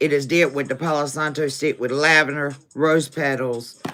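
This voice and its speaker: Over music in the background, a woman with a Southern US accent speaks at a fairly slow pace. Her pitch is very deep and low, with ordinary variation. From US South. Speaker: tarot reader. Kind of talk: live tarot stream. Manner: casual.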